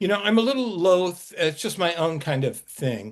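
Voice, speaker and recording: A man's voice rises and falls very widely in pitch as he talks at a medium speed over a quiet background. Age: 70s. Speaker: fantasy author. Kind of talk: webinar author talk. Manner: halting, with many fillers.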